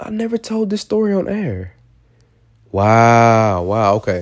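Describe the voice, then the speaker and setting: A man speaks in an animated tone with very wide pitch swings on a very clean recording with a silent background. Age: 20s. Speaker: motivational podcaster. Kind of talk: motivational monologue.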